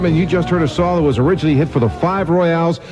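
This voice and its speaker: Noticeable background noise surrounds a man who talks at a very fast pace. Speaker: radio DJ. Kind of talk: oldies radio DJ talk.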